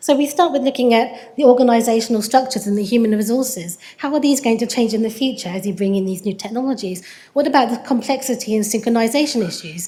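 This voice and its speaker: With audible room echo around her, a woman talks very fast at a fairly high pitch with ordinary pitch variation. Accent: English. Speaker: researcher in systems engineering. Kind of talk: conference presentation. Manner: frequent fillers (um).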